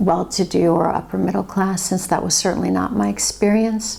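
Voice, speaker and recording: With a Californian accent, a woman talks at a moderate pace over noticeable background noise. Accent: American (California). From Los Angeles, California (born in Finland). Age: 50s. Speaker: investigative journalist and author. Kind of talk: personal testimony monologue.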